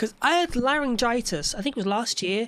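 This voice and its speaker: Lively intonation marks this voice with a British accent. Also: woman. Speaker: streamer. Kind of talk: casual chat. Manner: halting.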